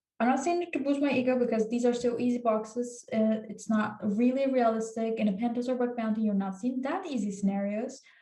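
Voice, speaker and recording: Amid audible room echo, a woman talks at a fairly quick pace in a high pitch, her tone dark and mellow with ordinary pitch variation. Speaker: cybersecurity tutorial YouTuber. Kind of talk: tutorial. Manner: casual, many filler words.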